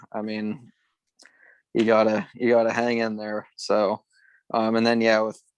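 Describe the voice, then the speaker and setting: A man with a western Pennsylvania accent talks in a fairly low pitch, his intonation flat and monotone. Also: dry, close sound with no echo, quiet background. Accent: western Pennsylvania American. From western Pennsylvania, Ridgway. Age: 20s. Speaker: former college runner. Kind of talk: casual interview. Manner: halting, many fillers and repeats.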